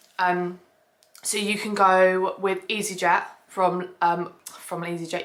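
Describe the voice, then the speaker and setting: A woman speaks with a southern English accent at a medium pitch. Her intonation stays fairly even. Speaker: family travel vlogger. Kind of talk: casual vlog tutorial. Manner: fast; chatty, many fillers.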